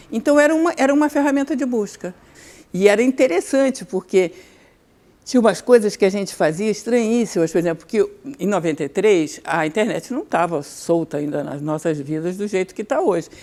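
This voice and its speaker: A woman speaks at a fairly quick pace in a medium pitch, her dark, mellow tone moving through very wide pitch swings. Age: 70s. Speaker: writer and professor. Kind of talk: interview.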